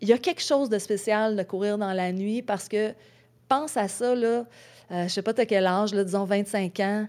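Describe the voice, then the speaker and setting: A woman speaks at a fairly slow pace with a medium pitch and ordinary pitch variation. The recording is very clean, with a silent background. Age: 40s. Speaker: ultra-trail runner. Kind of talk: casual interview chat. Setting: in-person studio.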